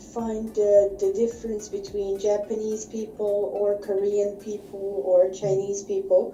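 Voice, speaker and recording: With audible room echo, a woman in a Bosnian accent speaks at a fairly slow pace and a medium pitch. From Bosnia and Herzegovina. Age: 20s. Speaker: online English teacher. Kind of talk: online English lesson. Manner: slow and clear.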